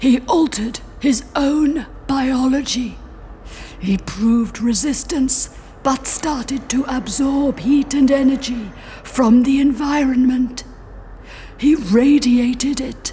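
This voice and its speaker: At a fairly slow pace, a female-sounding put-on character voice speaks at a high pitch over clear background noise. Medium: audio drama. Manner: formal, literal, measured.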